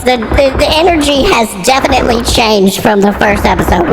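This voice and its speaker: A female-sounding put-on character voice speaks at a fairly quick pace with a fairly high pitch. Loud background noise runs underneath. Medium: virtual streamer. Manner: profane, exclamatory.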